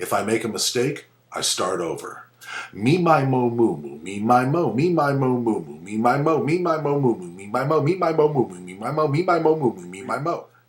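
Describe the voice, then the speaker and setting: A man's voice makes very wide pitch swings and big swings in loudness, with noticeable background noise. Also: medium pitch for a man, moderate pace. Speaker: voice actor and voice over coach. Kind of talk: instructional tutorial talk to camera. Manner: rhythmic, repeated warm-up drills, speeding up.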